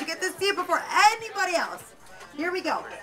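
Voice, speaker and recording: A woman uses a raised, projected voice over clear music in the background. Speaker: radio host / emcee. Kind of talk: live radio promo emcee, prize giveaway at a movie premiere. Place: shop. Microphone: pa.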